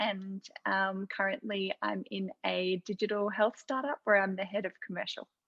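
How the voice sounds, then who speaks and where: Speaking in an Australian accent, a woman keeps a moderate pace, a medium pitch and fairly even intonation. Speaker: medtech executive. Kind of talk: panel discussion.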